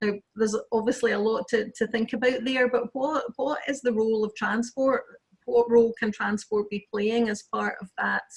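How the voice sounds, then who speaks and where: A somewhat breathy woman in a west of Scotland accent, with monotone, flat intonation. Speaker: planning lawyer. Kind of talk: webinar interview.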